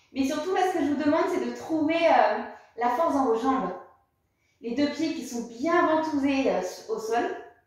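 A woman speaks at a moderate pace with a high pitch. Strong room echo fills the recording. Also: quiet background. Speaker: yoga or fitness instructor. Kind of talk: exercise class instruction. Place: home room. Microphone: camera far.

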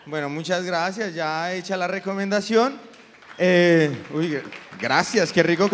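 A man's high-pitched voice at a moderate pace, with light background noise. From Colombia. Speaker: comedian. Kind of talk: stand-up. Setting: stage with audience. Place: stage. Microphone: handheld.

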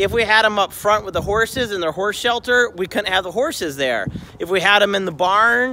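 Over noticeable background noise, a man speaks at a moderate pace in a raised, projected voice. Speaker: homesteader vlogger. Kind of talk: casual vlog chat. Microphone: phone near.

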